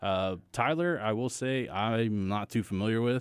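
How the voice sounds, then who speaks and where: A man speaks with ordinary pitch variation. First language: Spanish. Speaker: economic development director. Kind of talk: casual interview chat. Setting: studio.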